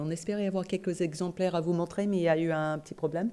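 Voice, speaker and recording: A woman speaks with a slight non-native accent in a dark, mellow tone. Her intonation is fairly even, on a very clean recording with a silent background. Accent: slight foreign accent in French. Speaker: professor and nurse. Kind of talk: conference lecture. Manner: hesitant, many fillers.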